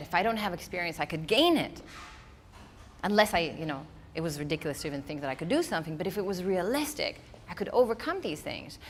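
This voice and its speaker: A woman with a non-native accent talks at a very fast pace. Her pitch swings very widely. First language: not English. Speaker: speaker. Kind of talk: keynote talk.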